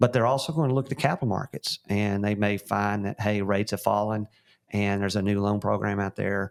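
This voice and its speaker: A man with a Texan accent speaks in a fairly low voice. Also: dry, close sound with no echo. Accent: Texan twang. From West Texas. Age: 50s. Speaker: real estate company founder and CEO. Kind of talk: interview. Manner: frequent fillers and restarts.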